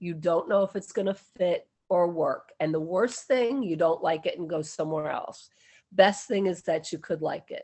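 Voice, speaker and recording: This is an ordinary speaking voice, moving at a moderate pace with ordinary pitch variation. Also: woman, medium pitch for a woman. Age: 60s. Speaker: interviewee sharing city experience. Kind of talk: interview.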